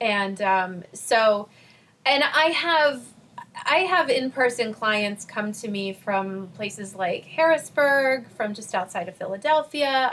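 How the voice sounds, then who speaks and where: At a fairly slow pace, a woman with an unremarkable speaking voice and a fairly high pitch speaks with lively intonation. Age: 40s. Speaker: spiritual life coach. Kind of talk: podcast interview.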